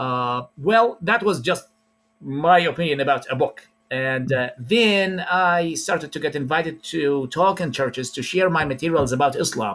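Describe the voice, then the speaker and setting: A man with an Arabic accent, fairly high-pitched, lively intonation, moderate pace. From Iraq. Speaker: preacher. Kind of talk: interview.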